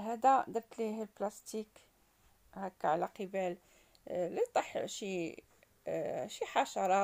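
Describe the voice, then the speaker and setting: A woman talks fairly slowly, her pitch varying in an ordinary way, with a quiet background. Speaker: home cooking vlogger. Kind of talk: tutorial. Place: kitchen. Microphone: phone near.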